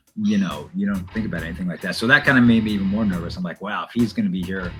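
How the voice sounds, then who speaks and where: A man's voice with ordinary pitch variation, music in the background. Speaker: radio DJ and voiceover artist; stadium public address announcer. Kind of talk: casual interview answer.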